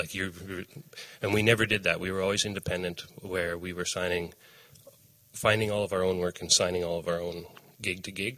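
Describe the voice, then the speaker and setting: A man with a Canadian accent talks at a fairly quick pace in a very deep, low voice, flat and monotone yet bright and sharp in tone, with long, frequent pauses. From Canada, Saskatchewan. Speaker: farmer and former opera singer. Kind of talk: casual interview.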